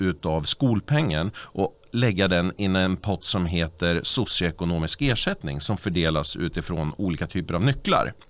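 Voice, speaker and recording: A man's very deep, low voice at a fairly slow pace, with ordinary pitch variation and a dry sound with no echo. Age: 40s. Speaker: party official and local politician; local politician. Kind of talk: casual chat. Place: studio. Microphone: studio mic.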